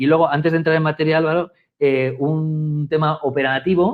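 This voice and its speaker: Here a man with a Spanish accent talks at a fairly quick pace in a fairly high pitch. His loudness stays very even, and his intonation is fairly even too. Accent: Spanish (Spain). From Spain. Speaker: communications director, webinar co-host. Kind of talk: webinar conversation. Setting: live online webinar, remote.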